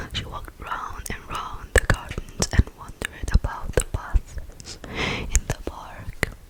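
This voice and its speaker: Someone whispers in a gentle tone. Background noise is noticeable. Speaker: ASMR content creator. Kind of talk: ASMR whisper reading of a book. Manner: whispered, gentle.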